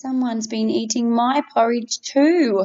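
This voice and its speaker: Someone growls in a put-on character voice. The pace is fairly slow. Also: woman. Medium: read story.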